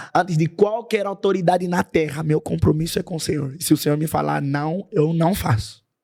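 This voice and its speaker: A man talks at a fairly quick pace with hardly any pauses. His tone is dark and mellow, with ordinary pitch variation. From Angola. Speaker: worship singer. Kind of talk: podcast interview.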